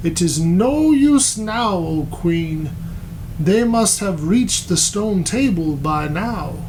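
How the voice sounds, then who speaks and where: Putting on a character voice, a man speaks very slowly at a high pitch over clear background noise. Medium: read story. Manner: low-voiced.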